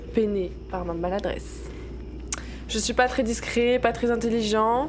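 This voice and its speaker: At a very slow pace, a woman speaks with long, frequent pauses over noticeable background noise. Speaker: podcast co-host, role-playing game player. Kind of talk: casual banter, role-playing game.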